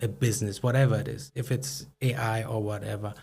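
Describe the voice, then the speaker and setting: Speaking at a fairly quick pace, a man with a non-native accent has a dark, mellow, somewhat breathy tone at medium pitch and fairly even intonation. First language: not English. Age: 30s. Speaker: startup founder and CEO. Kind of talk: podcast interview. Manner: halting.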